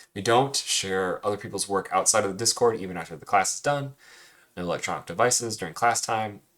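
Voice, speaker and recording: A soft-spoken man with ordinary pitch variation is heard on a very clean recording with a silent background. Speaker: cartooning teacher. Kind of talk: recorded lesson recap. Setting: screen recording with webcam.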